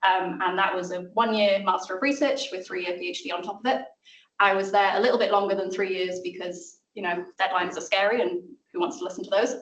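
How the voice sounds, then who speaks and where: A woman in a South Welsh accent at a very fast pace, medium pitch and ordinary pitch variation, with audible room echo. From Wales (South Wales). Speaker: maths lecturer and communicator. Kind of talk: seminar talk. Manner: casual.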